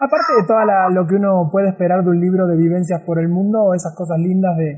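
Amid noticeable background noise, a man with a high pitch talks at a very fast pace. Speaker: travel podcast host. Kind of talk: interview. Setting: remote call.

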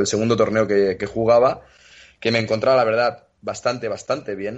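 A man talks in a normal speaking voice at a medium pitch and a fairly quick pace. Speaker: retired tennis player. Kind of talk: interview.

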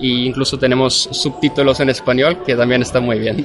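Noticeable background noise sits behind a man speaking at a moderate pace and medium pitch. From Austria, Vienna. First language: German (speaking Spanish). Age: 20s. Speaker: marketing consultant and lecturer. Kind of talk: interview. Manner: halting.

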